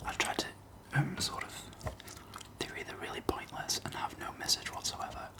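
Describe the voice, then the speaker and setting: A man whispers at a moderate pace. Background noise is noticeable. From Northern England. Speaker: ASMR creator. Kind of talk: casual ASMR chat to camera. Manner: whispered, soft-spoken.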